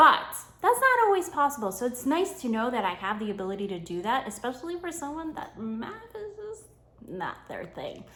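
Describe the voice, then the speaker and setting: A woman's high voice with a New York accent, animated in tone, with very wide pitch swings at a moderate pace. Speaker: homeschooling mom and content creator. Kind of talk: sponsored tutorial vlog. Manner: casual, animated.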